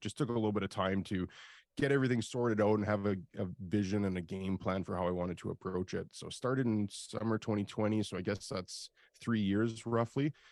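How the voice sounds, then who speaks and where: With a Canadian accent, a man talks at a fairly quick pace in an ordinary speaking voice with ordinary pitch variation. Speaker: industrial real estate broker and video host. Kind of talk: interview.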